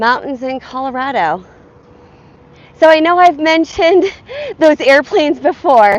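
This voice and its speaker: A woman's intonation is lively while her delivery stays fairly slow. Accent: American. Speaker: fitness vlogger. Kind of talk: casual live-stream chat while walking.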